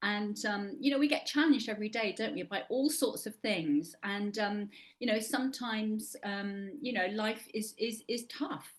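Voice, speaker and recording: A woman with an English accent speaks at a moderate pace in a fairly high, somewhat breathy voice, using lively intonation and hardly any pauses. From England. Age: 60s. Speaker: actor and life coach. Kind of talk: interview.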